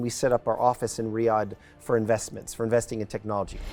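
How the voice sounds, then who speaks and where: A man speaks with an American accent at a medium pitch. Music plays in the background. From New Mexico, US, raised abroad (Spain, Switzerland). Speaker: football club owner and investor. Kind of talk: interview.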